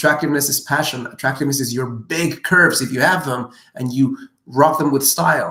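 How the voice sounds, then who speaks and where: Bright and sharp in tone, this animated voice with a non-native accent races along at a very fast pace. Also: man. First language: not English. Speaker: dating and relationship coach. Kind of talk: live Q&A answering viewer questions.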